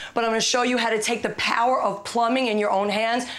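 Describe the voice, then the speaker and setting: Very fast speech with an American accent over noticeable background noise. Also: woman. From Brooklyn, New York. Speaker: home repair expert. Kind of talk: TV segment tutorial.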